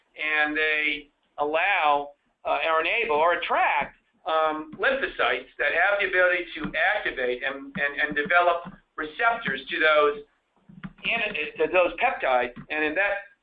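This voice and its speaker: With ordinary variation in his pitch, a man talks in a fairly high register. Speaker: cancer researcher and physician. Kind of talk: lecture. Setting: small group meeting room. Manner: fast; halting, many fillers and repetitions.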